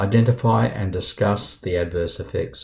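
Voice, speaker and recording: A man speaks at a moderate pace in a very deep, low pitch with a dark, mellow, somewhat breathy tone. The recording is very clean, with a silent background. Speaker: university lecturer. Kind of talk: lecture.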